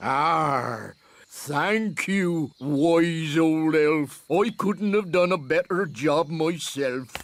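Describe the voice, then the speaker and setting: A man puts on a cartoonish character voice at a fairly high pitch. He speaks at a very slow pace. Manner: sly, ingratiating.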